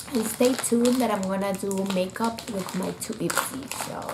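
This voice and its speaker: A woman's moderately paced speech, with ordinary pitch variation, comes through audible room echo and noticeable background noise. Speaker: beauty vlogger. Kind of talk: unboxing video. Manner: quiet, strained.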